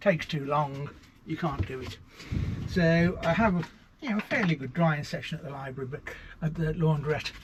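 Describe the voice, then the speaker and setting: Noticeable background noise sits behind a man with a fairly high pitch and ordinary pitch variation. He keeps a moderate pace with long, frequent pauses. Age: 70s. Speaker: author and nomad living in a lorry. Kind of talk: interview answer. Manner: cheerful, positive.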